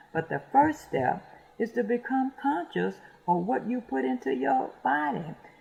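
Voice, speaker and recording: A fairly slow delivery in an American accent, with noticeable background noise. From US, rural, Detroit. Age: 70s. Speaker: radio host. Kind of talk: casual monologue. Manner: halting, many fillers and repetitions.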